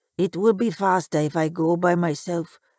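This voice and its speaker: A woman's raspy, put-on character voice, fairly low in pitch, at a moderate pace with fairly even intonation. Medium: read story. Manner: deferential, polite.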